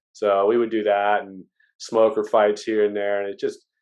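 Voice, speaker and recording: A man with an unremarkable speaking voice, ordinary pitch variation and a fairly quick pace. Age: 40s. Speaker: podcast host. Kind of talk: casual chat.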